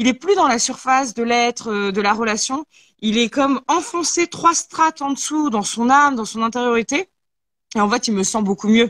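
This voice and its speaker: On a very clean recording with a silent background, a woman with a high pitch and lively intonation speaks at a moderate pace, the sound dry and close with no echo. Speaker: talk show host. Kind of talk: casual chat.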